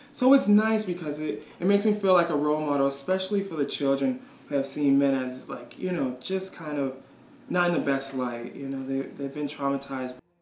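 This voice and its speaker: A man talks at a fairly quick pace with fairly high pitch and ordinary pitch variation. Noticeable background noise and audible room echo fill the recording. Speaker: shelter worker. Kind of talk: interview.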